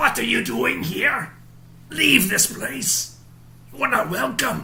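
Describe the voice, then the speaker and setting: A put-on character voice, raspy and fairly slow, comes through over light background noise. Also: man, high pitch for a man. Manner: threatening, commanding.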